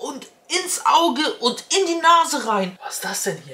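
Projecting a raised voice at a high pitch, a woman speaks at a fairly slow pace with very wide pitch swings. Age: 30s. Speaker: beauty YouTuber. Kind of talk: product unboxing vlog. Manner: animated. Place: home room.

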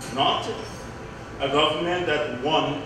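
Fairly slow speech with strong room echo and noticeable background noise. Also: man. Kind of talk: political speech. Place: hall.

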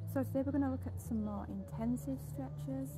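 Over noticeable background noise, a woman speaks in a very deep, low pitch. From Yorkshire, England. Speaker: pole fitness instructor. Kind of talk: fitness tutorial instruction. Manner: casual, conversational. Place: garden.

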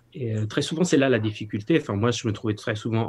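A man talks at a fairly low pitch. His voice is somewhat breathy. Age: 40s. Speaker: participant, former manager. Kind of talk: casual chat. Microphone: video call.

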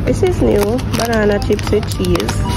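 A woman speaks at a fairly slow pace over loud background noise. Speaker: travel vlogger. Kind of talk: casual vlog chat. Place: shop. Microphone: phone near.

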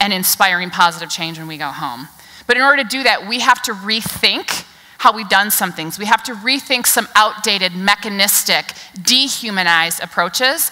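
Big swings in loudness mark this woman's voice. Her pace is moderate. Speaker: keynote speaker. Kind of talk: keynote speech. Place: stage.

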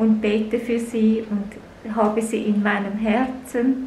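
There is audible room echo and light background noise as a woman with a fairly high pitch speaks. She talks at a very slow pace with monotone, flat intonation. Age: 50s. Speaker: video blogger. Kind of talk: vlog monologue. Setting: public library. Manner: soft-spoken.

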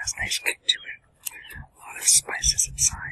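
Whispering from a man, at a fairly slow pace. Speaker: food vlogger. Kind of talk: casual vlog chat. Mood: relaxed, cheerful. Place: forest.

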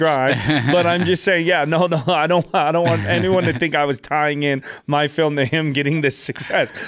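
With music playing in the background, a man speaks at a fairly high pitch and a moderate pace. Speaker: podcast host. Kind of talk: podcast interview, casual talk. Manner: upbeat. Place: studio. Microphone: studio mic.

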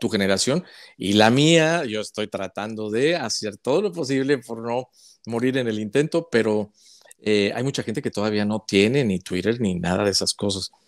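The speech moves at a moderate pace with lively intonation over a quiet background. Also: man. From northern Mexico, Chihuahua. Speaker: journalist; journalist interviewee. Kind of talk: interview. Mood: warm, cheerful, laughing often. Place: home room. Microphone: earbuds.

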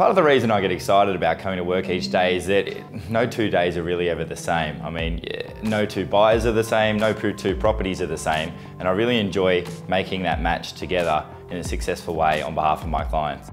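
A man with a very deep, low pitch, lively intonation and a fairly quick pace, with clear music in the background. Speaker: real estate agent and auctioneer. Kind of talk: corporate profile talking to camera. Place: office. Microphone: lapel.

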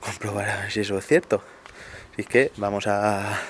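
A man talks in a fairly low voice. The sound is dry with no echo, and there is light background noise. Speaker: vlogger. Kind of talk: casual vlog chat.

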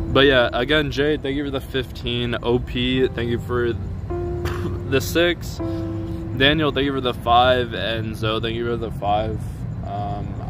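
Clear music plays in the background as a man speaks at a very slow pace with ordinary pitch variation. The sound is dry, with no echo. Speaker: streamer. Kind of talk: casual livestream chat. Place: street. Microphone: phone near.

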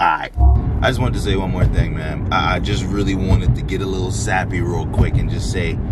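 The man speaks at a moderate pace in a dry sound with no echo. Music plays in the background. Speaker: vlogger. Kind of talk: casual vlog chat. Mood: grateful, sentimental. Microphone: phone near.

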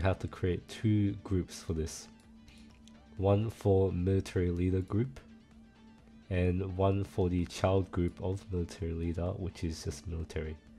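Fairly slow speech with fairly even intonation over music in the background. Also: man, long, frequent pauses. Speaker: game server tutorial maker. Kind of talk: screen-recorded software tutorial.

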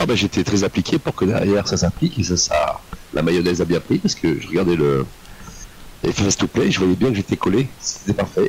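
A man with a very deep, low voice talks at a fairly quick pace, his intonation lively and his loudness very even, over noticeable background noise. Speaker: flight sim squadron pilot. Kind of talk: radio-style flight calls. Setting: voice chat.

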